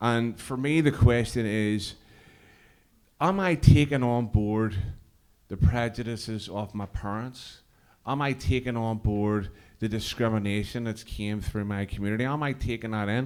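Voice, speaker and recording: In a very clean recording with a silent background, the voice carries a Belfast accent with ordinary pitch variation. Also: man, medium pitch for a man, moderate pace. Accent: Belfast Northern Irish. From Northern Ireland, East Belfast. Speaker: cross community worker and musician. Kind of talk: stage introduction with banter. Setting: stage with audience at interfaith event. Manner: casual, halting with fillers.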